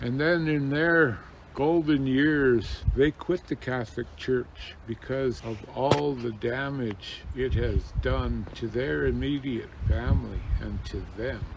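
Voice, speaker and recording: Behind this man, background noise is clearly noticeable. His speech crawls along very slowly. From Standing Rock, North Dakota and California. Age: 60s. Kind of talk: oral history interview.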